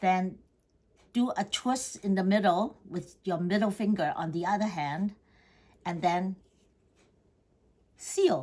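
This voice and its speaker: A somewhat breathy woman at a medium pitch and a very slow pace. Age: 80s+. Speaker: home cook. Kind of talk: cooking tutorial talk to camera.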